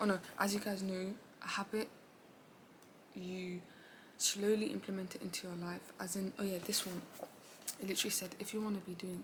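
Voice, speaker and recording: A woman speaks at a fairly quick pace with long, frequent pauses, her medium-pitched voice flat and monotone. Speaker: self-improvement vlogger. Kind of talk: casual vlog talk. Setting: seated at home in office chair. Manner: casual, halting with fillers.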